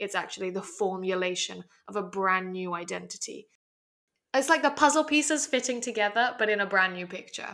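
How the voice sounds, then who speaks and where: A woman in an English accent talks at a medium pitch and a fairly quick pace, with lively intonation and big swings in loudness. The recording is very clean, with a silent background. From Hong Kong. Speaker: podcast co-host. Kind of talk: casual discussion.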